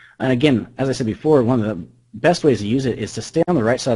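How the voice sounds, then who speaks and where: A very fast-talking man with a dark, mellow tone, a somewhat breathy quality and ordinary pitch variation. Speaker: trader presenting a trading indicator. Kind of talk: webinar presentation.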